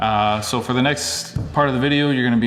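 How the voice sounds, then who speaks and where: A man at a fairly quick pace with fairly even intonation, audible room echo and noticeable background noise. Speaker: wedding photographer and vlogger. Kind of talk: casual vlog.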